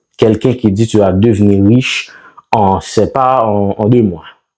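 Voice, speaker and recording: At a very slow pace, a man talks in a fairly low pitch with a dark, mellow tone and fairly even intonation. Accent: Haitian. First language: Haitian Creole (speaking French). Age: 30s. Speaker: online seller and business YouTuber. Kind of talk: business talk to camera. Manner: halting, many fillers.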